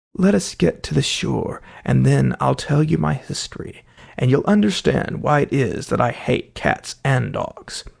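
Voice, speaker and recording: Using a put-on character voice that sounds shaky, a man speaks at a moderate pace. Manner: trembling, pale with anger.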